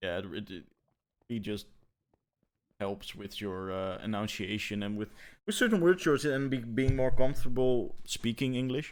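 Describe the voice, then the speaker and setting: A man with a non-native accent speaks at a moderate pace, with long, frequent pauses and big swings in loudness. The recording is very clean, with a silent background. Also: medium pitch for a man, ordinary pitch variation. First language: not English. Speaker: gaming podcast co-host. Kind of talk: casual chat. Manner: halting, many repetitions.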